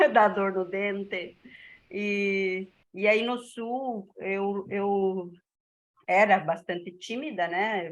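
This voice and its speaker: Fairly even intonation from a woman speaking at a medium pitch. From northern Santa Catarina, Brazil. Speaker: teacher. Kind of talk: personal anecdote in class.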